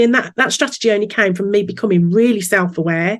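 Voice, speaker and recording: A woman speaks with a Birmingham accent. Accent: Brummie. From Birmingham, England. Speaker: business coach. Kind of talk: podcast interview. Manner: lively.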